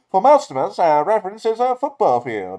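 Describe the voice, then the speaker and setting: A man puts on a high-pitched character voice with very wide pitch swings. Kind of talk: solemn, dramatic commentary.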